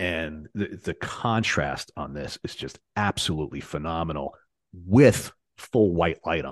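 The voice moves at a fairly slow pace with vocal fry, ordinary pitch variation and big swings in loudness. The sound is dry and close with no echo, against a quiet background. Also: man, very deep, low pitch for a man. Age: 40s. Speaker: lighting designer. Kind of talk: casual chat.

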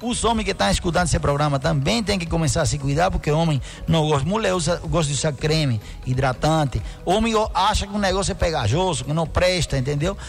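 Amid noticeable background noise, a fairly high-voiced man talks at a very fast pace with lively intonation and very even loudness. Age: 50s. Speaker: doctor (dermatologist). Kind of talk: radio interview. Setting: radio studio with live video stream.

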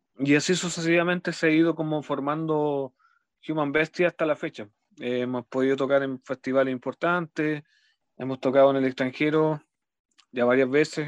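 A fairly high-pitched man at a moderate pace, with fairly even intonation, dry and close with no echo against a quiet background. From Chile, Los Ángeles, Bío Bío region. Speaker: death metal musician and teacher. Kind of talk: radio interview. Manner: halting, many repetitions and fillers.

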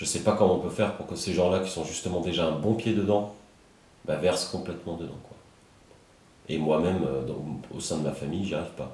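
A man's very deep, low voice at a fairly quick pace, with fairly even intonation, long, frequent pauses, big swings in loudness, audible room echo, and noticeable background noise. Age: 30s. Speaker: podcast host. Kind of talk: interview conversation. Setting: at the guest's home.

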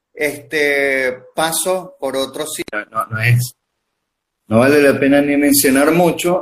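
A man's fairly high-pitched voice with a Lara Venezuelan accent, fairly even intonation and a very slow pace. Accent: Venezuelan Spanish (guaro). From Venezuela, Barquisimeto (Lara). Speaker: pastry chef. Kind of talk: casual interview. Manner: halting, many fillers.

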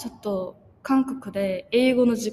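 This woman has a Korean accent. Her voice is pitched high. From South Korea. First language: Korean (speaking Japanese). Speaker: language student. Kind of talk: casual interview.

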